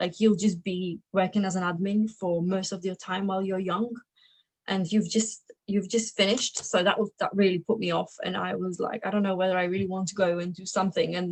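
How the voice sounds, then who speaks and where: A woman speaks at a fairly quick pace in a somewhat breathy voice. Her pitch is medium and her intonation is monotone and flat. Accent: Slovak. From Slovakia, raised in England from about age 10. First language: Slovak. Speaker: adviser and entrepreneur. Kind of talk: interview. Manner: casual, with fillers and restarts.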